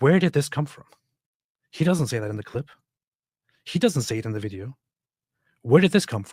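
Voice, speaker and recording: An animated man's voice, fairly high-pitched and somewhat breathy, with very wide pitch swings, big swings in loudness, a fairly quick pace and long, frequent pauses, in a dry, close sound with no echo and a very clean recording over a silent background. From immigrant, grew up abroad. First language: not English. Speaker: online commentator, channel owner. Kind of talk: reaction commentary on a clip and article. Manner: animated, indignant.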